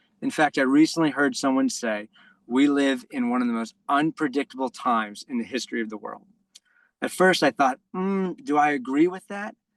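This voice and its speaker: Someone with an American accent speaks at a moderate pace with lively intonation, in a dry, close sound with no echo and a quiet background. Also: man, fairly high pitch for a man. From New York. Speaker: basketball coach trainer. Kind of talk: online presentation.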